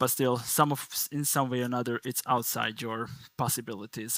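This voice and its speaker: A man with a Hungarian accent speaks at a moderate pace and a medium pitch, with fairly even intonation. The recording is very clean and dry, close with no echo and a silent background. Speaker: conference speaker from a network analytics company. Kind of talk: technical conference talk.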